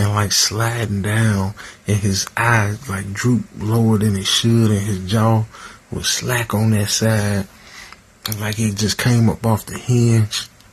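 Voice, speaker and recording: There is noticeable background noise as a man talks at a fairly slow pace. His fairly low voice stays monotone and flat. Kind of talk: sleep story / first-person horror narration. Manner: casual, conversational.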